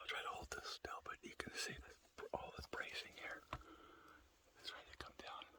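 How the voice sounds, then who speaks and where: Long, frequent pauses break up a whisper that moves at a moderate pace. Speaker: mine explorer. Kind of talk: casual exploration narration. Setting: inside a mine adit.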